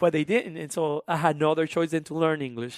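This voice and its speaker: A man with a strong Honduran accent, fairly high pitch and animated tone, very fast pace, dry and close sound with no echo. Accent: thick Honduran Spanish. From Honduras, then South Carolina from age 13. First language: Spanish. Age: 20s. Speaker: musician and immigration advocate. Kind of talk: interview conversation. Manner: animated, with frequent fillers and restarts.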